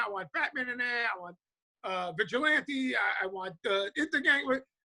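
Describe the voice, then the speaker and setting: A man with a New York accent, his voice raised and projected, bright and sharp in tone. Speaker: comic book writer. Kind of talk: interview. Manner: halting, many fillers and restarts.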